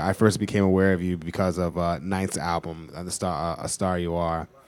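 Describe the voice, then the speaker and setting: A man with a very deep, low pitch talks at a moderate speed. The audio is very clean, and nothing is heard behind him. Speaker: audience member. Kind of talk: audience question. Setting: store event with audience. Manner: quiet.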